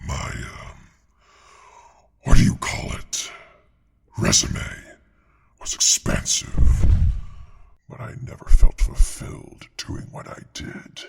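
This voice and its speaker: A man in a put-on character voice, whispering at a fairly slow pace with long, frequent pauses. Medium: audio drama. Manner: calm, dry, understated.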